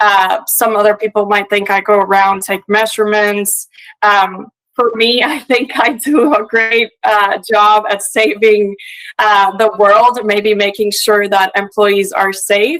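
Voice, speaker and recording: A woman speaks with a Puerto Rican accent and fairly even intonation. Her loudness stays very even throughout. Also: medium pitch for a woman, fairly slow pace. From Puerto Rico. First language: Spanish. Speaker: industrial hygienist. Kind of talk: conference presentation. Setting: remote video link to live event. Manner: frequent filler hesitations.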